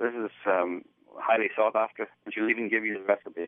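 Speaking with an Irish accent, a man keeps a medium pitch, fairly even intonation and a moderate pace. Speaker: filmmaker. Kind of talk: interview. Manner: halting.

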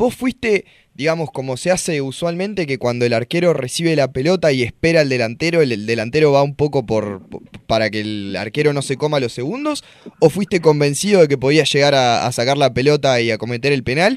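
A man speaks in a plain, everyday voice, fairly high-pitched for a man. His pace is fairly quick and his intonation lively. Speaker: sports radio co-host. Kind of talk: sports radio talk show. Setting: studio.

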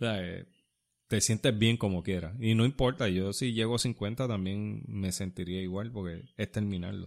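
The recording is very clean, and the background is silent. A plain, everyday voice moves at a moderate pace, its pitch varying in an ordinary way. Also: man, fairly low pitch for a man. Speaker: podcast co-host and runner. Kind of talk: casual chat. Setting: studio.

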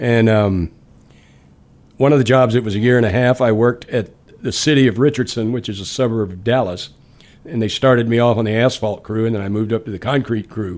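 Speaking at a fairly quick pace with fairly even intonation, a man with an American accent has a medium pitch and an ordinary speaking voice. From Louisiana and Texas. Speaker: blues guitarist and singer-songwriter. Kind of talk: casual radio interview, relaxed chat. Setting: radio studio interview. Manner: easygoing, friendly, laid-back.

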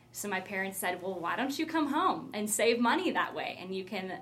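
Amid noticeable background noise and audible room echo, a woman with an American accent speaks with lively intonation. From Iowa, US Midwest. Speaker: church youth ministry staff. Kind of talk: casual interview.

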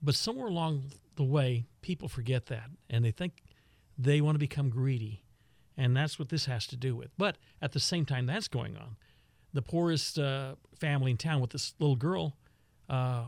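A man with an American accent talks at a moderate pace and medium pitch, somewhat breathy, with ordinary pitch variation. The recording is very clean with a silent background and sounds dry and close, with no echo. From Texas. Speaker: radio veteran and author. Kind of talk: casual interview chat.

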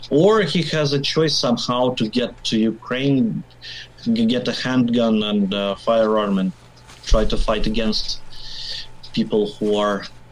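A man with a Russian accent, a medium pitch, a fairly slow pace and long, frequent pauses. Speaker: biker, media worker. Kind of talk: casual interview. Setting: video call.

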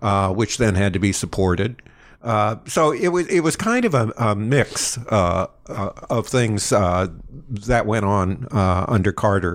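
A man speaks at a fairly low pitch and a fairly slow pace. His intonation is lively while his loudness stays very even. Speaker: history podcast co-host, lecturer. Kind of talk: casual chat.

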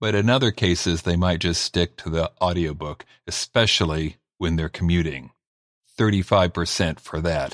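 Recorded very cleanly against a silent background, a man with a very deep, low pitch speaks at a moderate pace with ordinary pitch variation. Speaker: podcast host and author. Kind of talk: podcast interview with promo intro.

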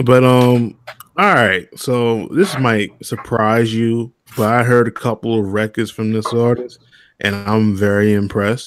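Fairly slow and with fairly even intonation, a man talks in an ordinary speaking voice. The recording is very clean with a silent background. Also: medium pitch for a man. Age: 20s. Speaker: podcast host. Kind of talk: casual chat.

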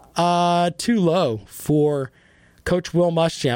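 A man with a high pitch in a dry, close sound with no echo. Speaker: radio host. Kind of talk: sports radio talk show. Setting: studio. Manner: animated, conversational.

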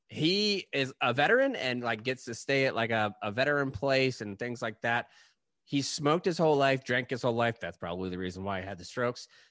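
Against a quiet background, a man with a normal speaking voice talks at a fairly quick pace, medium in pitch and lively in intonation. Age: 30s. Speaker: podcast host. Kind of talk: casual chat.

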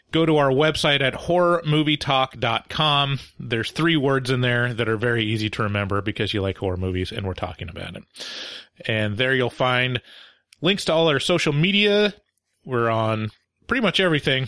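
In a playful tone, a man at a medium pitch makes very wide pitch swings. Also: moderate pace. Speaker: movie review podcast host. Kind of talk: casual comedic review chat. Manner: joking, playful.

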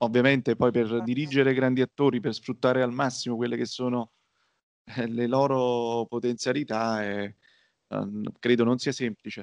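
Against a quiet background, a man at medium pitch speaks at a moderate pace with monotone, flat intonation, in a dry, close sound with no echo. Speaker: podcast co-host. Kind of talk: casual chat.

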